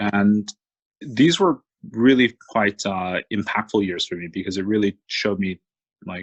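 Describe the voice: The voice has a slightly husky edge and ordinary pitch variation, moving at a fairly slow pace in a dry, close sound with no echo. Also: man, fairly low pitch for a man.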